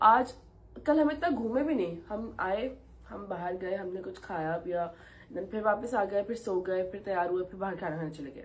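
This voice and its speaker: A woman at medium pitch talks at a moderate pace, her somewhat breathy voice carrying lively intonation and big swings in loudness. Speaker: travel vlogger. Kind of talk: casual vlog talk. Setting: hotel room.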